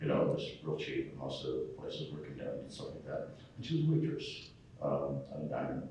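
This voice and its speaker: Very fast speech in an American accent, with audible room echo and noticeable background noise. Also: man. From New England, US (Connecticut). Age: 60s. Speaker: cartoonist. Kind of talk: convention panel interview. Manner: hesitant, many fillers.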